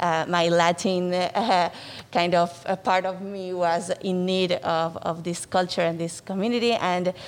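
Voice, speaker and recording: A woman with a Spanish accent and fairly low pitch talks at a fairly slow pace in a monotone, flat intonation. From Argentina, Buenos Aires. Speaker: nonprofit executive director. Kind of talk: interview. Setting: studio.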